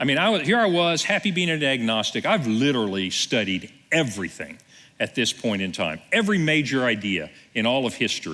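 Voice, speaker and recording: Talking at a fairly quick pace, a man uses medium pitch with very wide pitch swings and very even loudness. His bright, sharp tone carries vocal fry. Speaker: pastor. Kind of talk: sermon.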